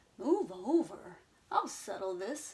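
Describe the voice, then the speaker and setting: This female-sounding voice is a put-on character voice set at a fairly high pitch. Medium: read story. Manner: snorting, whinnying.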